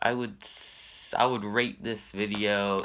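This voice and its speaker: Here a man talks with a fairly low pitch and a bright, sharp tone. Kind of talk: casual reaction commentary. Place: home room. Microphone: webcam.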